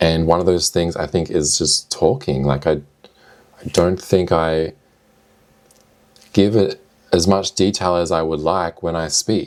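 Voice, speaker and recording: Pausing long and often, a man speaks in a very deep, low pitch with fairly even intonation. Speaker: video diarist and streamer. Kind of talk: casual video diary monologue. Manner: slow; hesitant, with filler words and restarts.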